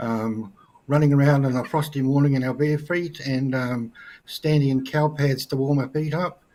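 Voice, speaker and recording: At a moderate pace, a man with a New Zealand accent speaks in a dark, mellow tone at a medium pitch, his intonation fairly even. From New Zealand, North Island. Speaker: guest. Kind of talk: interview.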